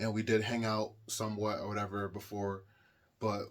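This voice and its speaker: The speaker is a man. His pitch is fairly low. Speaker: storytime YouTuber. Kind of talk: casual storytelling monologue. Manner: casual, repetitive filler; occasional stumbling.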